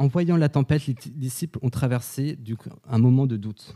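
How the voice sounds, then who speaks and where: Speaking at a moderate pace, a man has a medium pitch, ordinary pitch variation and a dark, mellow tone. The sound is dry and close, with no echo. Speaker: preacher. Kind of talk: sermon. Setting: church. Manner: conversational, personal; earnest, didactic.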